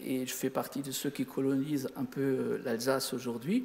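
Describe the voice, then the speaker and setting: A man talks amid noticeable background noise, his voice carrying audible room echo. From Lorraine, Sarreguemines (Moselle). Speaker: amateur astronomer. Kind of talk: lecture. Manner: halting.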